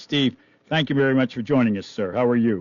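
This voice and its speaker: A man with a normal speaking voice, a fairly quick pace and ordinary pitch variation. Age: 60s. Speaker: radio host. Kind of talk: radio interview.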